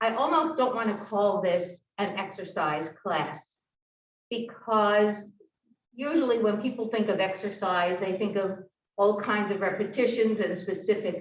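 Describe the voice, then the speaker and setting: Speaking at a fairly slow pace, a woman with medium pitch is heard with audible room echo. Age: 70s. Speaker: fitness instructor. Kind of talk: exercise class instruction. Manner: halting.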